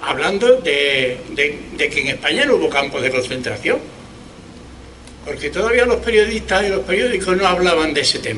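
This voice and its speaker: A high-pitched man at a moderate pace, with very wide pitch swings and noticeable background noise. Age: 70s. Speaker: historical memory activist. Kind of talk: public speech at memorial event. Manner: halting, with repetitions.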